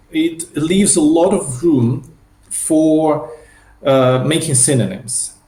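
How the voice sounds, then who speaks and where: A man speaks with a non-native accent. Audible room echo surrounds his voice. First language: not English. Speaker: software developer, spec proposal author. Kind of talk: technical interview. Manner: halting, many repetitions and fillers.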